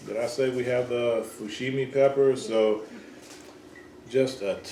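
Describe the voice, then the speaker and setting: Speaking at a fairly slow pace, a man uses a medium pitch. Noticeable background noise and audible room echo are present. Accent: slight Southern US. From US South, Georgia. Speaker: home gardener, channel host. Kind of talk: casual chat. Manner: hesitant, lots of fillers.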